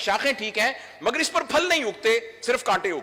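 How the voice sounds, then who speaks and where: Raising and projecting his voice over noticeable background noise, a man speaks at an extremely high pitch with lively intonation. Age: 60s. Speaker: doctor and trainer. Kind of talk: public speech. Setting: stage with audience.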